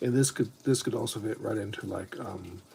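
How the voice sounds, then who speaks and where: The voice is somewhat breathy. It belongs to a man speaking at a moderate pace. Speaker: Lego hobby streamer. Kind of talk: casual livestream chat.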